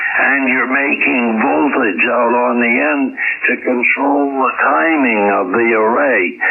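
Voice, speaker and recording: A man speaking very slowly amid noticeable background noise. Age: 80s+. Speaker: ham radio operator. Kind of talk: ham radio conversation. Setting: radio transmission.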